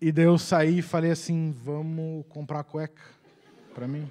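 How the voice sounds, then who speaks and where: At a very slow pace with long, frequent pauses, a man speaks at a fairly high pitch in a dark, mellow tone. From Curitiba, southern Brazil; Paraná, Brazil. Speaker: comedian; comedian telling story. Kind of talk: comic storytelling. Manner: energetic, animated. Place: stage. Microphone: handheld.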